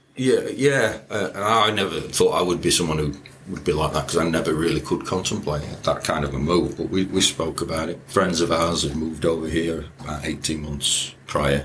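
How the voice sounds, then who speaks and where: With a northern English accent, a man talks at a moderate pace in a very deep, low pitch. His pitch varies in an ordinary way, and there is noticeable background noise. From northern England (Yorkshire). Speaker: quantity surveyor. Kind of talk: casual chat.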